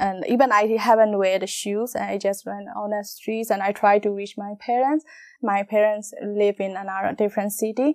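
A woman's fairly even intonation with a Burmese accent. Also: medium pitch for a woman, moderate pace. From Myanmar. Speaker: model and actress. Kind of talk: interview testimony. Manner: halting.

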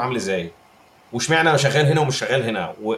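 A man speaks at a very fast pace with very wide pitch swings against noticeable background noise. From Egypt. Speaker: game developer. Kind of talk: casual chat.

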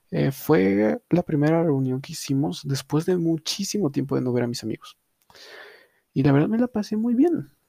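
A fairly high-pitched male voice with a dark, mellow tone, very wide pitch swings and a moderate pace, in a dry, close sound with no echo. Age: young. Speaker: podcast host. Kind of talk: casual chat. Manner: halting.

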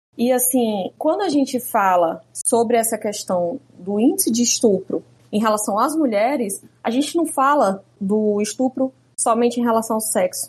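This woman's fairly high voice has lively intonation and very even loudness. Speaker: jurist and activist. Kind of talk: interview conversation.

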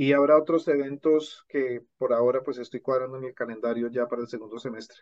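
Speaking at a fairly quick pace with hardly any pauses, a man uses a plain, everyday voice of medium pitch, with fairly even intonation and big swings in loudness. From Colombia. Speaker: language teacher and author. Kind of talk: interview conversation.

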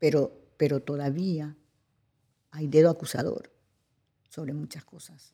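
Speaking fairly slowly with long, frequent pauses, a woman with a Paraguayan accent has a very deep, low pitch, a dark, mellow tone, and fairly even intonation. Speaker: actress and cultural manager. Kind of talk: interview. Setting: cultural centre studio.

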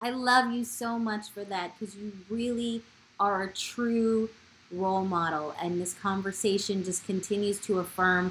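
Here is an unremarkable speaking voice, a woman with an American accent at a medium pitch. She talks at a fairly slow pace with fairly even intonation. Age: 40s. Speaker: podcast host. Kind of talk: interview.

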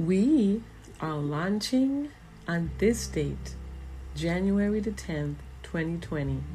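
In a room with audible echo, a woman with an American accent speaks at a very slow pace with long, frequent pauses. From US Virgin Islands (St. Croix). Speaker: minister, podcast host. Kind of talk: spiritual monologue.

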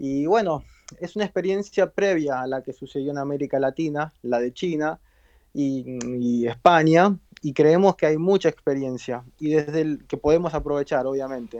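In a normal speaking voice, a man talks with a fairly high pitch. The sound is dry and close, without echo. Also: ordinary pitch variation, moderate pace, quiet background. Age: 40s. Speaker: media entrepreneur. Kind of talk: interview.

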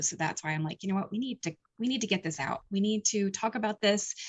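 Somewhat breathy, a woman talks with an American accent at a moderate pace. Her pitch varies in an ordinary way. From rural eastern Pennsylvania. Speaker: paranormal investigator and documentary maker. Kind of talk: casual interview.

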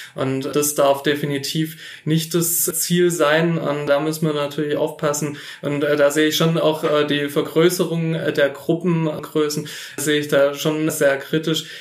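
Against noticeable background noise, a man talks in a monotone, flat intonation at a fairly high pitch and a fairly slow pace. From Filderstadt, Baden-Württemberg, Germany. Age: 30s. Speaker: state politician. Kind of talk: interview. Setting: on site in the kindergarten.

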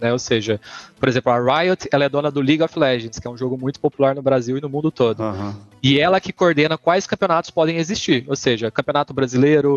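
At a very fast pace, a man speaks at a fairly high pitch with ordinary pitch variation, in a dry, close sound with no echo. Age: 30s. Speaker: esports company co-founder. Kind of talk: casual interview chat.

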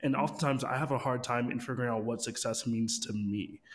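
With fairly even intonation and a medium pitch, a man speaks in an unremarkable speaking voice. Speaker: podcast co-host and co-founder. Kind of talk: casual interview.

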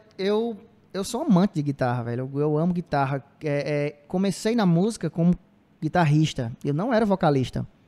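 A man with a fairly high pitch and a dark, mellow tone speaks at a moderate pace with lively intonation. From Ceará, Brazil (Cedro, later Cariri). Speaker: musician in a band. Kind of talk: casual interview chat.

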